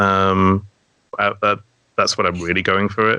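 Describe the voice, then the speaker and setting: A man speaks with an English accent at a fairly low pitch. His tone is bright and sharp. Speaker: dungeon master and storyteller. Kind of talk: casual chat. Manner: captivating storytelling.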